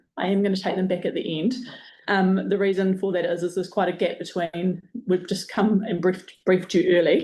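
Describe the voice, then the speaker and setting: A woman's medium-pitched voice with a dark, mellow tone and a New Zealand accent, fairly quick and flat in a monotone. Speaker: project manager presenting to community board. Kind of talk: presentation briefing.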